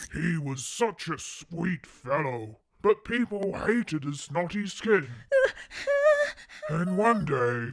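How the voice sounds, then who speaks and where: In a cartoonish character voice, a man speaks very slowly at a high pitch, with very wide pitch swings and long, frequent pauses. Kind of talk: bedtime story. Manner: warm, soothing.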